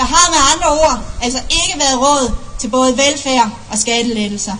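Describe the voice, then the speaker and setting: Amid noticeable background noise and audible room echo, a woman with a high pitch talks at a moderate pace with ordinary pitch variation. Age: 30s. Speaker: parliamentary candidate. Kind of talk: political rally speech. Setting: outdoor rally with large audience. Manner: oratorical, emphatic.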